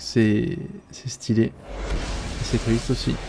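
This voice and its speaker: A man speaks at a very slow pace. Noticeable background noise sits behind him. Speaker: gaming video creator. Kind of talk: let's play commentary. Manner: casual, hesitant.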